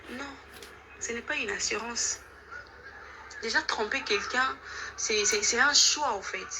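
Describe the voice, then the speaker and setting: A woman's high voice with a non-native accent, very wide pitch swings, a fairly slow pace and long, frequent pauses, over noticeable background noise. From DR Congo, Kinshasa. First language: not French (speaking French). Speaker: caller giving testimony. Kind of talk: testimony.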